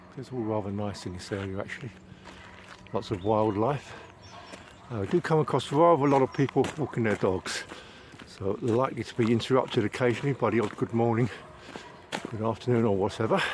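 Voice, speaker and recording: Over noticeable background noise, a man with a medium-pitched voice speaks at a fairly quick pace with ordinary pitch variation and long, frequent pauses. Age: 60s. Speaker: vlogger. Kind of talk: casual walking vlog monologue. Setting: outdoors, walking in woods. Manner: hesitant, frequent fillers.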